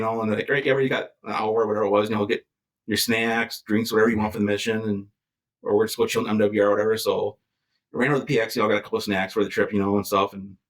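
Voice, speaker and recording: A man at a medium pitch with an Upper Midwest accent and fairly even intonation. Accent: Upper Midwest American. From Wisconsin, near Green Bay. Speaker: war veteran and firefighter. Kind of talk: interview answer. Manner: casual, conversational.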